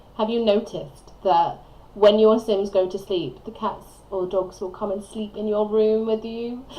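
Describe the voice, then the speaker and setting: A woman mumbling at a fairly high pitch. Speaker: gaming video creator. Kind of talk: voiceover commentary on a speed build. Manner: rambling, chatty.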